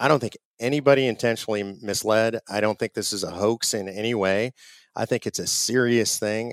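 A man talks at a fairly quick pace in a medium pitch, an ordinary speaking voice. The sound is dry and close with no echo. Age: 50s. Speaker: conservative activist group president. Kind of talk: interview. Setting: remote call from home.

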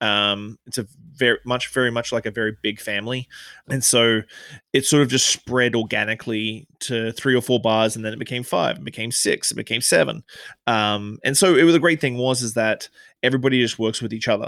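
A man with an Australian accent speaks fairly quickly at a medium pitch, with ordinary pitch variation. The sound is dry and close with no echo, in a very clean recording with a silent background. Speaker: bartender and author. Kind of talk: interview.

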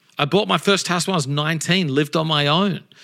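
A man talks with an Australian accent and a bright, sharp tone. The recording is very clean, with a silent background. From Australia, Adelaide. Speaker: pastor and author. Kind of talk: casual interview chat.

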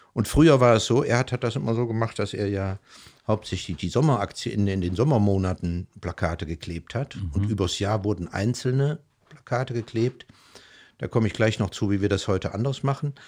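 Against a quiet background, a man with an ordinary speaking voice talks at a fairly quick pace in a fairly low pitch with ordinary pitch variation. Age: 60s. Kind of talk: casual interview. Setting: living room at home.

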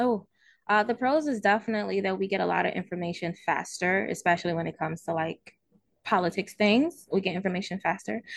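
A woman with an American accent talks at a very fast pace, her medium pitch showing ordinary variation. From Baltimore, Maryland. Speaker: author and YouTuber. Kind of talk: casual interview chat.

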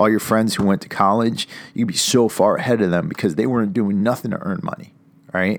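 A man with an American accent has an unremarkable speaking voice, fairly low in pitch with ordinary pitch variation. He moves at a fairly quick pace in a very clean recording with a silent background. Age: 40s. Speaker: podcast host, military veteran. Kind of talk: motivational solo talk. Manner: casual, many filler words.

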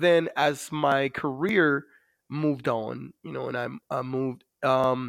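A man speaks with a Dominican accent at a fairly high pitch. The recording is very clean, with a silent background. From Dominican Republic. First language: Spanish. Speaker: navy master chief, war veteran. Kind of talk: interview. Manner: hesitant, many fillers.

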